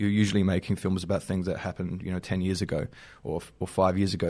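At a very fast pace, a man with an Australian accent speaks in a very deep, low voice with fairly even intonation over a quiet background. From South Australia (Normanville). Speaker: filmmaker. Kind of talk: interview. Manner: halting, many fillers and repeats.

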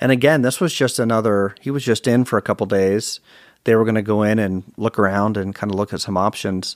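Fairly quick, fairly even speech from a man with a normal speaking voice, an American accent and fairly low pitch, on a very clean recording with a silent background and a dry, close sound with no echo. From Virginia, US. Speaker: author and speaker. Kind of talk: interview.

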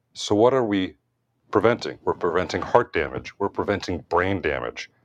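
A man talks in a normal speaking voice with an American accent, fairly low in pitch, at a moderate pace with ordinary pitch variation. The sound is dry and close with no echo, over a quiet background. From US, Washington DC. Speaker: cardiologist. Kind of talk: interview.

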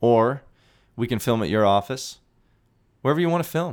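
Speaking at a fairly quick pace, a man sounds animated and energetic on a very clean recording with a silent background. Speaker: podcast host. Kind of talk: solo monologue, live, casual and passionate. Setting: live, talking to camera. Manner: animated, loud, energetic.

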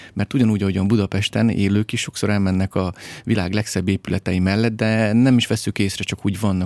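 A man with a fairly low pitch talks at a very fast pace with fairly even intonation. The sound is dry and close with no echo, on a very clean recording with a silent background. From Hungary, Great Plain near the Tisza. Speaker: documentary filmmaker and environmental activist. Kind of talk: interview.

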